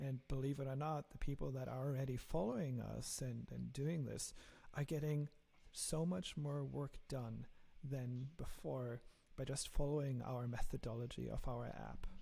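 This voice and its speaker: A man's medium-pitched, dark and mellow voice with a German accent, somewhat breathy, at a moderate pace with fairly even intonation. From Germany. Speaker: software engineer and app founder. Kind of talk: podcast interview.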